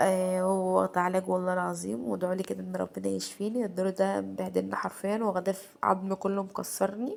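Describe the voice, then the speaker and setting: With an Egyptian accent, a woman speaks at a moderate pace. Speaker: home vlogger. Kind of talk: casual home vlog. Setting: at home. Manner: halting.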